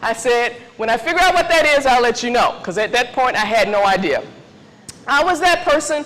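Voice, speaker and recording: Loud and high-pitched, a woman talks at a fairly quick pace with very wide pitch swings. Noticeable background noise runs underneath. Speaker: tech mentoring speaker. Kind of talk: conference talk. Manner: casual.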